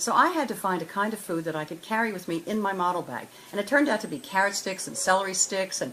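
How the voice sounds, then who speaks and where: Over noticeable background noise, a woman talks at a very fast pace in a medium pitch with lively intonation. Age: 70s. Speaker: former fashion model. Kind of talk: interview testimony. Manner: halting.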